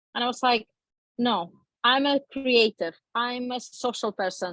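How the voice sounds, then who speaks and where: With a Polish accent, a woman speaks at a high pitch, the sound dry and close with no echo. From Poland. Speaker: talk show guest. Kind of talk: interview storytelling.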